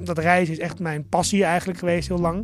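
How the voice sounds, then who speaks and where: At a very fast pace, a man speaks in a high pitch. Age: 40s. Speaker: shop owner. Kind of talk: interview. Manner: animated.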